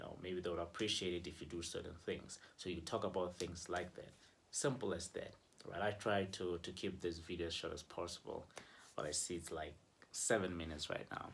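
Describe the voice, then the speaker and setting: A man speaks with a very deep, low pitch and a somewhat breathy quality. His intonation stays fairly even. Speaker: relationship vlogger. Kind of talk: casual advice vlog. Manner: conversational, filler-heavy.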